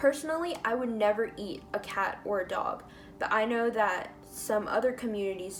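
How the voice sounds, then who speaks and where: Music in the background behind a woman's voice, medium in pitch, with ordinary pitch variation and a moderate pace. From United States. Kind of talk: reading own written notes aloud. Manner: talkative, with stutters.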